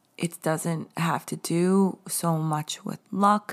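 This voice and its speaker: Speaking with an American accent, a woman uses a fairly low pitch with ordinary pitch variation. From US Northeast, the Hamptons, Long Island NY. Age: 40s. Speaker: podcast host, spiritual coach. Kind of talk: casual solo podcast talk. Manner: casual, halting with fillers and laughs.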